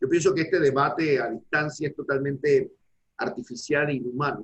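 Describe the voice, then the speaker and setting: A somewhat breathy male voice with a fairly high pitch. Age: 60s. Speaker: law professor. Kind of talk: academic panel discussion.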